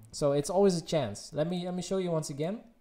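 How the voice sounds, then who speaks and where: Here a man speaks with a slight Dutch accent. His pitch is high, and his tone is dark and mellow. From Netherlands. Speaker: gaming streamer. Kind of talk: live stream Q&A. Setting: live stream.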